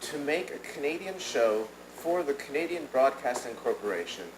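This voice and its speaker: A man at a fairly high pitch and a moderate pace, with very wide pitch swings, noticeable background noise and audible room echo. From United States. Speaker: professor, audience questioner. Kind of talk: audience question at conference. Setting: conference with audience. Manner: halting, many fillers.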